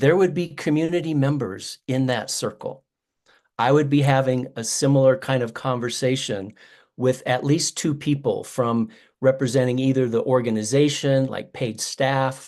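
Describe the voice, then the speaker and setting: Using a normal speaking voice, a man talks at a moderate pace. His intonation is fairly even, at a medium pitch. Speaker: restorative justice facilitator. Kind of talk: webinar facilitation.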